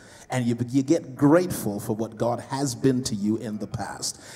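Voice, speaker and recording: Lively in intonation, a man speaks with a dark, mellow tone. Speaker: preacher. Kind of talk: sermon. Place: hall. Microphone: handheld.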